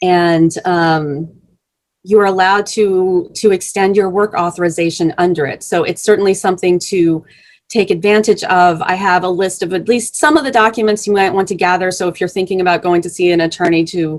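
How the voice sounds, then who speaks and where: A woman's unremarkable speaking voice at medium pitch, fairly quick in pace, with fairly even intonation. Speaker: immigration legal speaker. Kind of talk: presentation.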